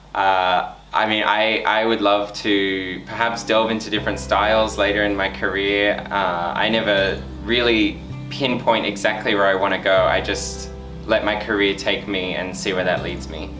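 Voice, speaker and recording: With music in the background, a man talks in an Australian accent. His fairly low voice has lively intonation. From Australia (Wollongong, New South Wales). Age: 20s. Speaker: professional ballet dancer. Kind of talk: interview answer. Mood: friendly, reflective. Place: studio.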